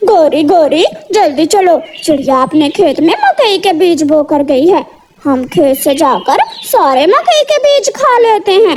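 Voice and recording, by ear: A woman uses a cartoonish character voice with an extremely high pitch. She speaks at a fairly slow pace.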